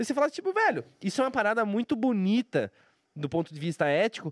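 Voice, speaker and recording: A man's high voice, fairly quick, with very wide pitch swings and very even loudness, dry and close with no echo. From Brazil, Curitiba. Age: 30s. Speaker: professional poker player and streamer. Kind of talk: casual interview chat.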